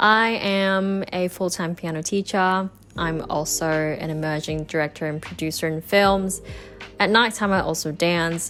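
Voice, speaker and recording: Against music in the background, a woman speaks at a fairly low pitch and a fairly slow pace with fairly even intonation. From Hong Kong. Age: 20s. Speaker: piano teacher and emerging film director. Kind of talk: interview. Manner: self-correcting.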